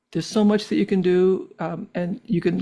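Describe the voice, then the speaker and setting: Against a quiet background, a woman talks at a fairly quick pace. Her fairly low voice has a dark, mellow tone and ordinary pitch variation. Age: 70s. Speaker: physician and researcher with MS. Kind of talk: interview. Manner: hesitant, many fillers.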